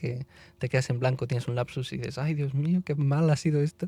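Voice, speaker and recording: A man's fairly high, dark, mellow voice in a Barcelona accent, fairly quick, with ordinary pitch variation and a dry, close sound with no echo. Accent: Barcelona Spanish accent, kept. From Spain, Barcelona then Madrid area. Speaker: classical musician and conductor. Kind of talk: podcast interview, casual chat. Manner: animated, chatty.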